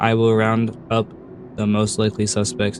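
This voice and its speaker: A man with a fairly low pitch speaks in a normal speaking voice at a moderate pace, his intonation fairly even. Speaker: let's play gamer. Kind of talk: reading in-game note aloud.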